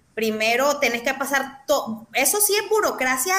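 A woman is talking. Her tone comes across bright and sharp. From Nicaragua, León. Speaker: political activist. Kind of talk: interview.

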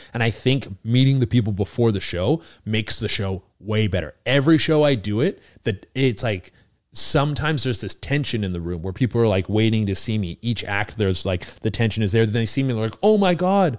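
A plain, everyday voice: a man with a Canadian accent, medium pitch, lively intonation and a fairly quick pace, on a very clean recording with a silent background. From British Columbia, Canada. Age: 30s. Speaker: stand-up comedian. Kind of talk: casual chat. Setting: studio, sharing a mic on a couch.

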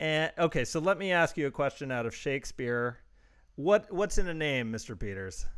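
Recorded very cleanly over a silent background, a man speaks at a moderate pace. His pitch is fairly high and his intonation lively. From born in London, lives in Los Angeles. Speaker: podcast host, actor and comedian. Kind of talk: casual interview chat. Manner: chatty, animated.

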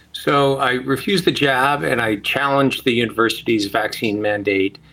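This man has a bright, sharp tone and an American accent. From US, California. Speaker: bioethicist and author. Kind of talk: interview.

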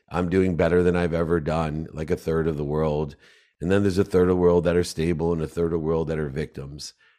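On a very clean recording with a silent background, a man talks at a fairly quick pace with a very deep, low pitch. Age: 50s. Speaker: entrepreneur and speaker. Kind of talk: interview.

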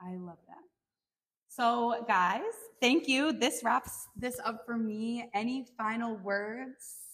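The speech moves at a very slow pace, with big swings in loudness. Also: woman, fairly high pitch for a woman, ordinary pitch variation. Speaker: podcast host. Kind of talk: interview. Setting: instagram live stream.

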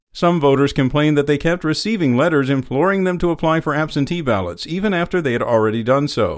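Speaking at a very fast pace, a man barely pauses. His fairly high pitch varies in an ordinary way, in a very clean recording with a silent background. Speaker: news reader. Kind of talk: formal news reading, scripted daily headlines bulletin. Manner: formal, even and measured; steady, clear newsreader delivery, neutral and unemotional.

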